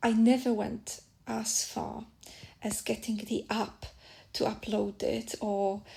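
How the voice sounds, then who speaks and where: A woman with a Polish accent speaks at a very slow pace. She leaves long, frequent pauses. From Poland. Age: 30s. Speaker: podcast host, spiritual practitioner. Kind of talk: casual monologue podcast. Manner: halting with fillers.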